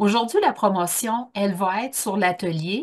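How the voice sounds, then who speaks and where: A woman speaks at a medium pitch with a Quebec accent. Her pitch varies in an ordinary way over a quiet background. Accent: Québécois. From Quebec, Bas-Saint-Laurent. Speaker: workshop trainer. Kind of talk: online conference talk. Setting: Zoom video call. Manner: casual, with many fillers.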